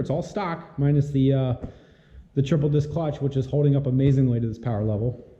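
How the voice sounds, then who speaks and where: Audible room echo surrounds a man speaking at a very fast pace. His pitch is fairly high. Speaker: car builder and YouTuber. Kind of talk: casual vlog update. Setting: home garage.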